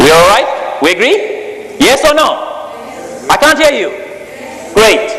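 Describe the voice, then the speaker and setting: With audible room echo and noticeable background noise, a man uses a raised, projected voice at an extremely high pitch, swinging very widely in pitch and leaving long, frequent pauses. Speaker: technology speaker. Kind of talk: presentation to live audience. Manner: fast; animated.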